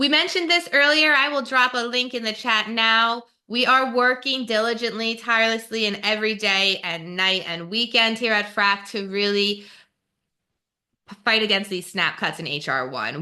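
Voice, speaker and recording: A woman with a New Jersey accent speaks at a moderate pace, her fairly high pitch carrying lively intonation and a bright, sharp tone. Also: quiet background. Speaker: webinar moderator, nonprofit policy staff. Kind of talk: webinar presentation. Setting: online webinar.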